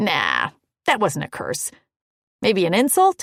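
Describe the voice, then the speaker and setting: Growling in a put-on character voice, a man speaks at a high pitch and a fairly slow pace. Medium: read story. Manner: joking, flippant.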